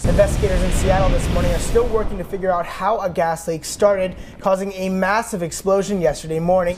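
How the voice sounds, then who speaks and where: A man with an American accent and a high pitch talks very fast over noticeable background noise. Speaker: TV news reporter. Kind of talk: TV news reporter reel, broadcast news delivery.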